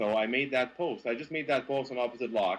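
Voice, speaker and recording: Speaking in a Quebec accent at a moderate pace, a man of medium pitch uses lively intonation. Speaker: car journalist. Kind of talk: interview. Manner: halting.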